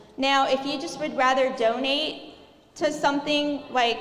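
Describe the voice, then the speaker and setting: Soft-spoken and high-pitched, a woman talks at a fairly slow pace with fairly even intonation, amid noticeable background noise and audible room echo. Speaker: cooking class instructor for children. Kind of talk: live cooking class instruction.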